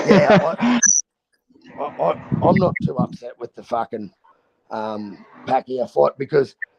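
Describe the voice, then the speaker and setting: In a strong Australian accent, a man speaks at a fairly slow pace, the sound dry and close with no echo. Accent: broad Australian. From North Queensland, Australia. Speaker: boxing streamer. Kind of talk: casual chat. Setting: live stream. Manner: loud.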